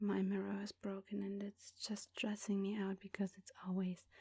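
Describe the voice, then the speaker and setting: Soft-spoken and somewhat breathy, a woman talks at a very slow pace in a medium pitch with a dark, mellow tone, recorded dry and close with no echo. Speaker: ASMR creator. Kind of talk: ASMR makeup tutorial talk to camera.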